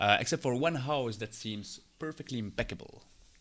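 A man talks at a moderate pace in a medium pitch. It is an ordinary speaking voice. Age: 30s. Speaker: game master. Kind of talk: tabletop role-play narration.

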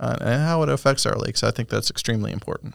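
This very clean recording of a man with an American accent has a silent background. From Michigan. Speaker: city natural resources manager, fisheries biologist. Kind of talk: casual interview.

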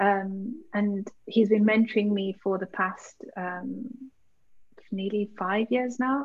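Somewhat breathy and fairly high, a woman's voice carries a slight Birmingham accent and fairly even intonation. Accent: British, Birmingham-tinged. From Birmingham, England. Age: 20s. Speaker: co-founder of an organisation. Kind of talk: casual interview chat.

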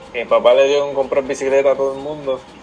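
A man's voice sits at a medium pitch, with noticeable noise in the background. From Puerto Rico, Aguadilla. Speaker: mountain bike racer. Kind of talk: casual interview.

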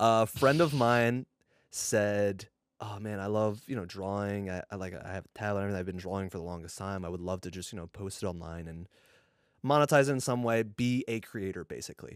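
A man with a normal speaking voice talks at a fairly quick pace in a fairly low pitch, with ordinary pitch variation and big swings in loudness, on a very clean recording with a silent background and a dry, close sound with no echo. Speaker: podcast co-host and editor. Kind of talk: casual chat. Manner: joking, laid back.

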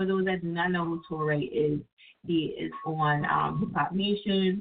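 A woman with a New Jersey accent speaks at a fairly slow pace and a fairly low pitch. Her pitch varies in an ordinary way over noticeable background noise. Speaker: internet radio host. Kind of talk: casual call-in radio chat. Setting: online radio studio with phone callers.

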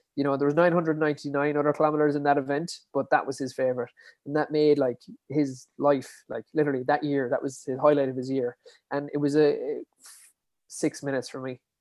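With a Kerry accent, a man speaks at a very fast pace. His pitch is fairly high and his intonation monotone and flat. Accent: Kerry Irish. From Ireland, Dingle, County Kerry. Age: 20s. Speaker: endurance athlete and podcaster. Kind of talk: interview.

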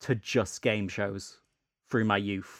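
Speaking at a fairly slow pace with a British accent, a man is heard on a very clean recording with a silent background. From UK. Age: 20s. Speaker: podcast host. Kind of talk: casual chat.

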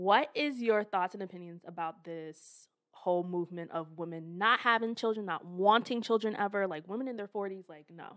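In a very clean recording with a silent background, a woman speaks with an American accent in an unremarkable speaking voice at medium pitch. Her pace is moderate and her pitch varies in an ordinary way, while her loudness swings widely. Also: hardly any pauses. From American suburbs. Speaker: podcast co-host. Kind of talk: casual chat.

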